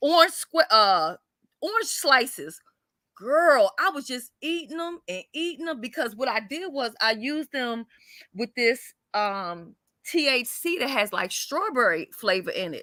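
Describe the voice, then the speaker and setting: A woman's high, bright, sharp voice, raised and projected, with very wide pitch swings, big swings in loudness and a fairly slow pace. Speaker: online video guest. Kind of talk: casual chat.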